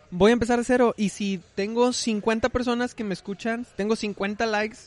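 Recorded with a dry, close sound and no echo, a man speaks at a high pitch. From Monterrey, northern Mexico. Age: 20s. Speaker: musician. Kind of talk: casual interview.

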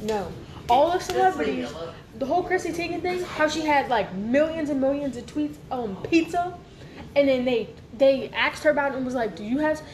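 A woman with a high voice talks at a fairly quick pace over noticeable background noise. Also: lively intonation. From Louisiana. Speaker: recurring podcast guest. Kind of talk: casual chat.

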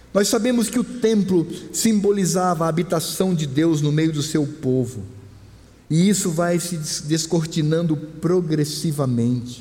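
With audible room echo, a man speaks fairly slowly at a high pitch, his pitch varying in an ordinary way. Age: 50s. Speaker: pastor. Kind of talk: sermon. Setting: church.

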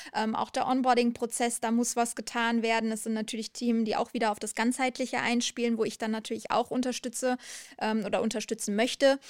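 Recorded very cleanly against a silent background, a woman talks at a fairly quick pace in a fairly high voice, the sound dry and close with no echo. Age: 30s. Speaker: HR and employer branding manager. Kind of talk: interview. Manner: energetic; passionate.

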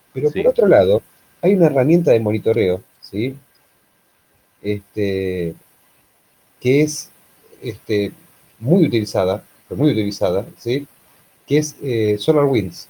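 A man with an Argentine accent speaks at a fairly slow pace, leaving long, frequent pauses, his somewhat breathy voice dark and mellow in tone, with lively intonation. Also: medium pitch for a man. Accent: Argentine Rioplatense. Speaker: podcast co-host. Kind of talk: casual chat.

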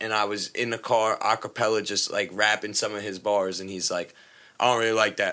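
A man's bright, sharp voice at a medium pitch comes through on a very clean recording with a silent background. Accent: New York. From New York, Long Island. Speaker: podcast co-host. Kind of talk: casual chat. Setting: studio.

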